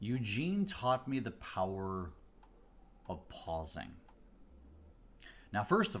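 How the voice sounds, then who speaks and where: A very slow, somewhat breathy delivery with very wide pitch swings and long, frequent pauses. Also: man. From US Midwest, Chicago area. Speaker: mentalist. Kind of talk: casual livestream talk.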